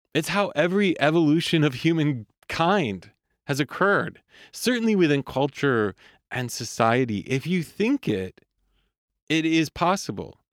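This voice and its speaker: An ordinary speaking voice talks at a fairly slow pace. The recording is very clean and dry, close and echo-free, with a silent background. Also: man. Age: 40s. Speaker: podcast host, singer and voice coach. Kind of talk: solo monologue. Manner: warm, reflective.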